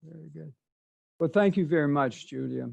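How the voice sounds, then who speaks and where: A man speaks with a slight Mississippi Delta accent. His pitch is fairly high. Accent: slight Southern, Mississippi Delta. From US South, southeast Arkansas. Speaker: author and poet. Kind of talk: prepared presentation. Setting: video call.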